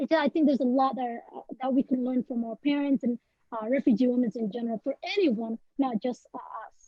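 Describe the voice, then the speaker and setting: Speaking fairly quickly, a woman with a Somali accent has a high pitch. Her pitch varies in an ordinary way. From Somalia. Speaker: poet. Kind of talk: panel interview. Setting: webinar video call. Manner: halting, many fillers.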